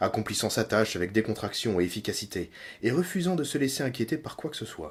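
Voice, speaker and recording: Very wide pitch swings come at a fairly quick pace in a very clean recording with a silent background. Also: man. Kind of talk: audiobook reading of a novel chapter. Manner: relaxing, ASMR-style.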